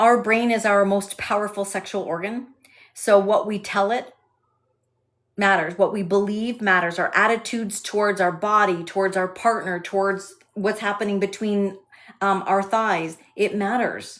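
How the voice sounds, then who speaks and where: With a slight Canadian accent, a woman speaks at a moderate pace in a medium pitch, her intonation monotone and flat. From Canada, Alberta. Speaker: sex and intimacy specialist. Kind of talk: live stream Q&A with chat. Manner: hesitant with frequent fillers.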